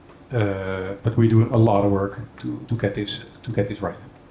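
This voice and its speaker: In a room with audible echo, a man talks at a fairly quick pace with fairly even intonation. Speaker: software company executive. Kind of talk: conference keynote. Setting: stage with audience. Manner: fast; hesitant fillers.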